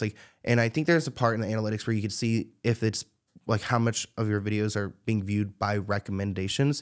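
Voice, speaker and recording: Fairly quick speech from a man, the background quiet. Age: 20s. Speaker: celebrity gossip YouTuber. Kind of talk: casual interview chat. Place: studio. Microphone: studio mic.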